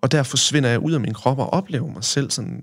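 A man talks at a fairly quick pace. He has an unremarkable speaking voice. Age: 20s. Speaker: guest, assault survivor and trauma practitioner. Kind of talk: casual podcast interview, personal storytelling.

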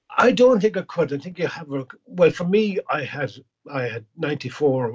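A man speaks with an Irish accent. His intonation is lively. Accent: Irish (Clare). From Ireland, County Clare. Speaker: singer-songwriter and chef. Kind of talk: casual interview.

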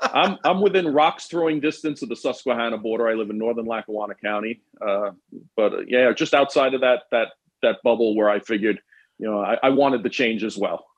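A man's medium-pitched voice with a New York accent, ordinary pitch variation and a fairly quick pace. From New York City, Queens. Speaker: former police detective. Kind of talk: casual chat.

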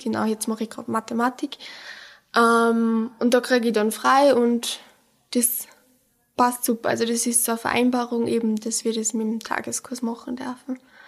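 A woman speaks at a moderate pace with a fairly high pitch. Her intonation stays monotone and flat. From Austria, Pongau (Salzburg). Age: young. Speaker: bank apprentice. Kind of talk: interview. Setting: bank branch.

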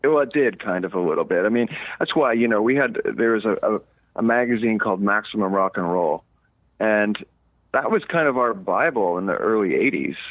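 With an ordinary speaking voice, a man talks at a fairly quick pace with medium pitch and ordinary pitch variation. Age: 50s. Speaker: punk rock musician. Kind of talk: casual interview.

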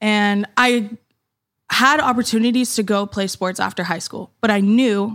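In a very clean recording with a silent background, a woman with a normal speaking voice talks at a moderate pace, medium pitch and fairly even intonation. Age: 20s. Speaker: fitness content creator and mother. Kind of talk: casual chat.

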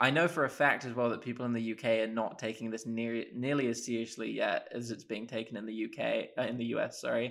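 Barely pausing, a man with a southern English accent talks at a very fast pace in a medium pitch with fairly even intonation. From England, Oxford. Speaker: university student, sports fan. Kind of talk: casual chat. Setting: video call.

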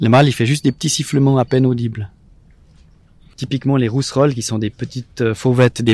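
A man with fairly even intonation on a very clean recording with a silent background. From Switzerland, Vaud. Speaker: ornithologist. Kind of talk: interview. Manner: halting.

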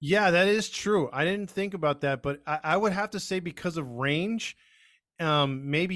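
A man with a plain, everyday voice, moderate pace and ordinary pitch variation. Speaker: baseball podcast co-host. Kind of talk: casual chat.

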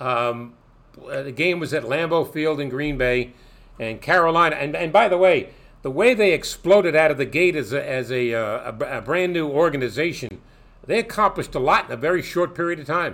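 On a very clean recording with a silent background, a man with a fairly high pitch talks at a moderate pace with lively intonation. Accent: American. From Brooklyn, New York. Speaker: sports broadcaster. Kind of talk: interview. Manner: halting.

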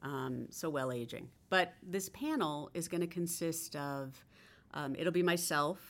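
The speaker has an ordinary speaking voice. The pace is fairly slow. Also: woman, fairly low pitch for a woman, ordinary pitch variation. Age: 50s. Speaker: skincare startup founder. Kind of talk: interview.

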